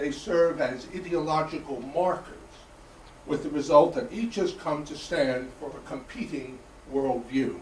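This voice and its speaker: A fairly slow pace with ordinary pitch variation, against noticeable background noise and audible room echo. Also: man, fairly high pitch for a man. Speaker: historian and theologian lecturer. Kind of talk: lecture. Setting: conference lecture hall with audience. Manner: formal.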